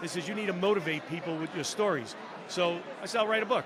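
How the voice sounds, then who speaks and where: A man's raised, projected voice with an animated tone, ordinary pitch variation and a very fast pace, amid noticeable background noise and audible room echo. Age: 60s. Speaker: former reality show contestant. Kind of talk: casual chat. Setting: live stream at podcast convention.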